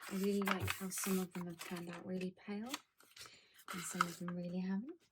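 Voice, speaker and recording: The speaker is soft-spoken and talks at a fairly quick pace in a monotone, flat intonation. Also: woman, medium pitch for a woman. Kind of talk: ASMR crafting video, soft-spoken talk to camera.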